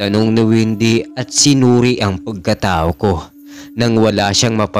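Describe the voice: Intonation stays fairly even in this plain read-aloud delivery.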